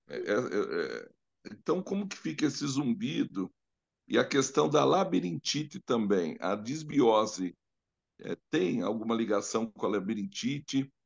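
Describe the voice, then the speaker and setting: In a dry, close sound with no echo, a man speaks fairly slowly with vocal fry and very wide pitch swings. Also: medium pitch for a man. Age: 60s. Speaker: live stream host. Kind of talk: live Q&A talk.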